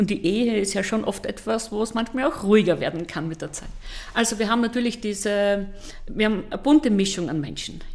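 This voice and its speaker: Through noticeable background noise, a woman with a fairly high pitch talks at a fairly quick pace with ordinary pitch variation. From Austria, eastern Styria. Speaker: psychotherapist and TV relationship expert. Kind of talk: interview.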